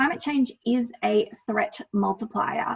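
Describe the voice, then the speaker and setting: With an Australian accent, a woman speaks at a fairly slow pace in a fairly high voice. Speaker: lawyer presenting on climate risk. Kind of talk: presentation with slides.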